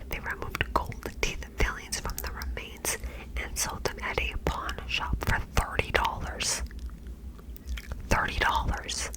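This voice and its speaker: Someone whispers at a fairly slow pace, with long, frequent pauses. Noticeable background noise sits behind the voice. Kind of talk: whispered true crime narration, ASMR. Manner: whispered, soft, slow.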